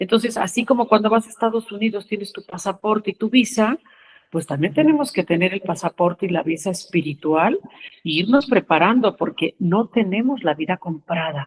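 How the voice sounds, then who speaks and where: Her intonation is lively and her voice somewhat breathy as the woman speaks at a moderate pace. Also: medium pitch for a woman, dry, close sound with no echo. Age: 70s. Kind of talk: spiritual talk. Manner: informal, conversational.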